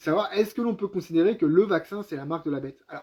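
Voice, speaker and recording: Lively intonation marks this man's speech, which races along at a very fast pace. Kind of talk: live-stream Bible teaching; spoken prayer. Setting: live stream at home with wife. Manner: hesitant with many fillers.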